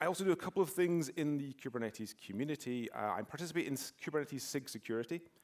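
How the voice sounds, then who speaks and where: A man with a Scottish accent speaks with very wide pitch swings. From Scotland, near Glasgow. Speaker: security expert, conference speaker. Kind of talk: conference talk. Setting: stage with audience.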